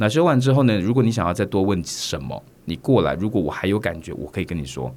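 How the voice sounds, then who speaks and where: A man is talking. His pace is very fast. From Taiwan (Kaohsiung). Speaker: stage and TV actor. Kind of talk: interview.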